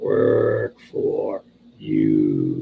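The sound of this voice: A man does a croaky, put-on character voice.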